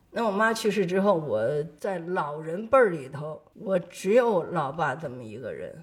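A woman talks at a fairly slow pace with lively intonation. Noticeable background noise is present. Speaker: retired war correspondent. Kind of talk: interview testimony.

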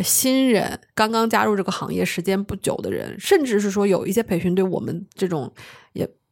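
Her voice is at a medium pitch for a woman, with ordinary pitch variation and a moderate pace. The recording is very clean, with a silent background. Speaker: insurance agent. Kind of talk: casual chat. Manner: lively.

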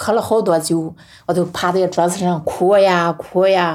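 A woman with a Henan accent, fairly low in pitch, at a moderate pace, on a very clean recording with a silent background. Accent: some Henan. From rural Henan, Nanyang. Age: 50s. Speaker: farm woman and poet. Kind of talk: personal testimony.

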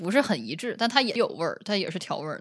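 A woman's pitch swings very widely as she talks. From Northeast China, Shenyang. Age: 30s. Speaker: PhD researcher. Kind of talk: casual chat.

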